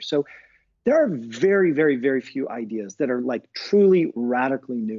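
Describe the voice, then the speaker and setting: This man's voice sits fairly high and swings very widely in pitch. He keeps a moderate pace. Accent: American. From US. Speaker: professor and author. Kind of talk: casual interview chat.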